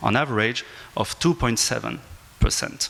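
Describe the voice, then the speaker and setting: A man with a French accent at a fairly quick pace, over noticeable background noise. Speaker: aviation law professor. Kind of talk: panel discussion. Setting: conference panel with audience. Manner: halting.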